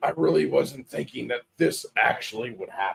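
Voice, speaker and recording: A man's raspy, put-on character voice at a moderate pace, with a dry, close sound and no echo. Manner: weary, disheveled.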